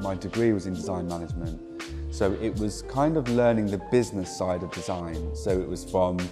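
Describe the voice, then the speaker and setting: Clear music plays in the background as a man speaks with a very deep, low pitch. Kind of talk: interview answer. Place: office. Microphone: lapel.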